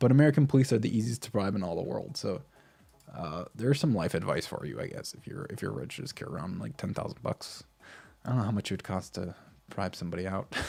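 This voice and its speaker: A man with a dark, mellow tone and vocal fry talks at a very fast pace in a fairly low pitch, with very wide pitch swings and big swings in loudness. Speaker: crypto vlogger. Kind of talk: casual commentary. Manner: halting.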